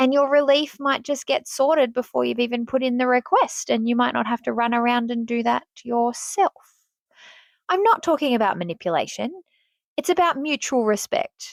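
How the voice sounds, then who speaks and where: In a dry, close recording with no echo, a woman with an Australian accent speaks in a high, animated voice at a moderate pace. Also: lively intonation. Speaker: podcast host and teacher. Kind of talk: casual podcast monologue.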